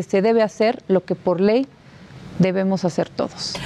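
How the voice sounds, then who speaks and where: Talking at a fairly quick pace is a woman. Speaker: borough mayor-elect. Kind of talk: interview.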